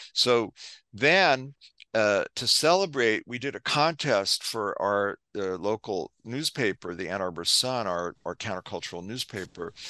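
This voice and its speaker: Against a quiet background, a man with an American accent speaks fairly slowly in a bright, sharp tone with lively intonation, in a dry, close sound with no echo. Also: medium pitch for a man. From US Northeast, New York City. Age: 70s. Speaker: public relations consultant and activist. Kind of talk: interview.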